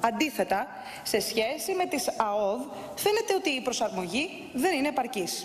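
A woman speaks at a high pitch, her voice making very wide pitch swings. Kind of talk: parliamentary speech. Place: hall. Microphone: podium.

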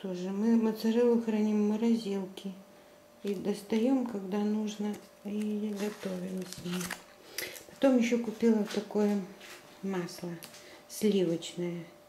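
A woman speaks very slowly in a monotone, flat way, leaving long, frequent pauses. The room echoes audibly, and there is light background noise. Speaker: home vlogger. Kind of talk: casual vlog chat. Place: home room. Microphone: phone near.

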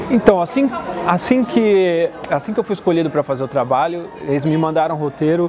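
Over crowd noise in the background, a man with a high pitch talks at a fairly quick pace with lively intonation. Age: 20s. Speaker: actor. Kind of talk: interview testimony.

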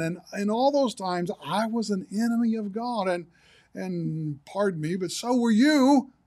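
A moderate pace and ordinary pitch variation against a quiet background. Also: man. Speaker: pastor. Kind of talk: sermon. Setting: livestream broadcast.

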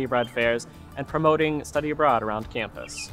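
There is faint music in the background as a man speaks with ordinary pitch variation. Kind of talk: informational presentation. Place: open country.

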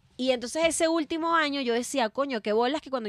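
A woman speaks at a very fast pace with lively intonation, the sound dry with no echo over a quiet background. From Venezuela. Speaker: comedian. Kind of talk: casual chat. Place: studio. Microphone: studio mic.

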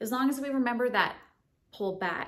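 In an American accent, a woman speaks at a moderate pace. Her pitch varies in an ordinary way, and the background is quiet. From Southern United States. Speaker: firearms instructor. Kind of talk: instructional tutorial to camera. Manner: friendly, encouraging. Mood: friendly, upbeat. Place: home room.

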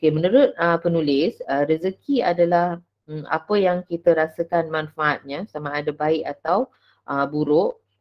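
At a fairly slow pace, a woman speaks in a fairly low pitch with ordinary pitch variation over a quiet background. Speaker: teacher giving book review. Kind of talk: book review presentation. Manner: hesitant, many fillers. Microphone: webcam.

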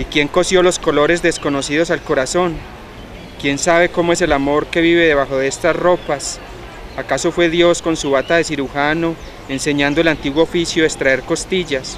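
A man speaks at a moderate pace with monotone, flat intonation. The sound is dry with no echo, and there is light background noise. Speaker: poetry reader. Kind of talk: poetry reading. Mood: calm, reflective. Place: garden.

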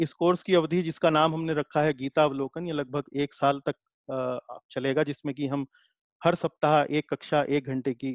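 The speech moves at a fairly slow pace with fairly even intonation, dry with no echo over a quiet background. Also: man. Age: 40s. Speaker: Gita teacher. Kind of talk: lecture. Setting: video call. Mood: calm explanatory. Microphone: webcam.

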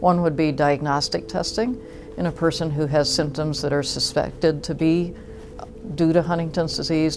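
Music plays in the background. The speech moves at a moderate pace with fairly even intonation. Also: woman. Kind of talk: interview answer. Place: home room.

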